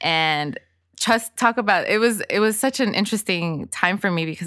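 A woman's bright, sharp voice with a Spanish accent and ordinary pitch variation, on a very clean recording with a silent background. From Los Angeles (Inglewood/Lennox), Salvadoran family. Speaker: author and financial literacy speaker. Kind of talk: casual interview.

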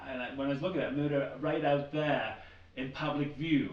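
There is audible room echo as a man with an American accent speaks at a moderate pace and a fairly high pitch. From US steel town. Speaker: podcast host. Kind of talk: interview.

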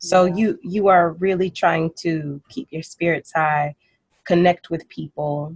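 In a dry, close recording with no echo, a woman with a fairly low, somewhat breathy voice speaks at a fairly slow pace with fairly even intonation. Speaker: podcast host. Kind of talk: interview. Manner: warm, playful, laughs often.

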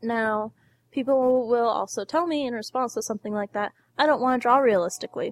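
Her pitch high, a woman speaks at a fairly quick pace with ordinary pitch variation. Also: dry, close sound with no echo. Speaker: podcast host. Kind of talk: casual chat. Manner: joking, cheerful.

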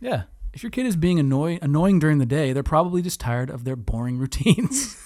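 Speaking at a very fast pace, a man with a fairly high pitch swings widely in both pitch and loudness. Noticeable background noise runs underneath. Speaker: podcast co-host. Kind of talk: casual chat. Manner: animated, laughing often.

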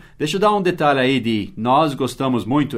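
Medium in pitch, a man with an English accent talks at a moderate pace. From United States. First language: English (speaking Portuguese). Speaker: English teacher. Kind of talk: language lesson.

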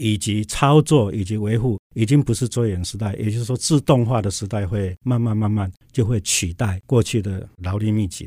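A man talks at a moderate pace with a fairly low pitch and ordinary pitch variation. The sound is dry and close, with no echo. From Taiwan, Tainan. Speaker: university president. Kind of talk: interview.

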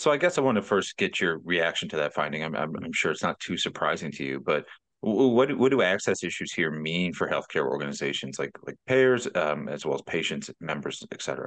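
Very wide pitch swings and vocal fry at a fairly quick pace, with hardly any pauses. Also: man, very deep, low pitch for a man. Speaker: podcast host. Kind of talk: interview.

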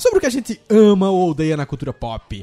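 A man's high-pitched voice at a fairly quick pace, with music in the background. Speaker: podcast host. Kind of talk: casual chat.

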